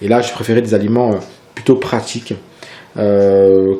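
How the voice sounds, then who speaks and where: A man speaks at a fairly slow pace with fairly even intonation while noticeable background noise carries on. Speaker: fitness vlogger. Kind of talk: casual tutorial vlog. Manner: hesitant, many fillers.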